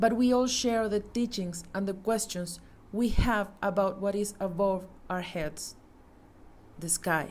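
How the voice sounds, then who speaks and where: A woman's medium-pitched voice with a Mexican accent, fairly even intonation and audible room echo. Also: fairly slow pace. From Mexico. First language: Spanish. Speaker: astronomy communicator. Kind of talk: conference talk. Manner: formal.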